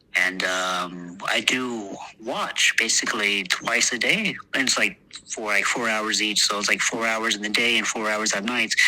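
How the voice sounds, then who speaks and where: Over noticeable background noise, a speaker with an American accent talks with fairly even intonation. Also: man, fairly slow pace. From Texas, US. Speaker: war veteran. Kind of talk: interview. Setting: podcast interview. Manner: halting, many fillers.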